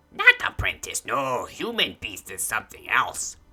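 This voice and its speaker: A raspy put-on character voice at a low-to-middle pitch and a moderate pace. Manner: halting, broken speech.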